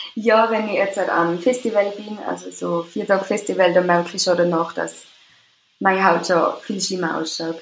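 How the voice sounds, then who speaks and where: A woman speaks with an Austrian accent at a medium pitch. Her pace is moderate and her intonation fairly even. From Austria, Tyrol. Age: 20s. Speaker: care assistant with psoriasis. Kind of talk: interview. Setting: remote call.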